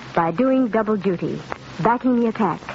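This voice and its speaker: Over light background noise, a woman speaks at a fairly quick pace in a dry sound with no echo. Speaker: radio announcer. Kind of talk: radio advertisement announcement. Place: studio. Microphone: old recording.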